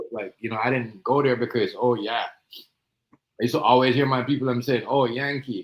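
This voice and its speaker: This man talks fairly quickly at a medium pitch, his intonation monotone and flat. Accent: Jamaican. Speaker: guest on live stream. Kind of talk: casual chat.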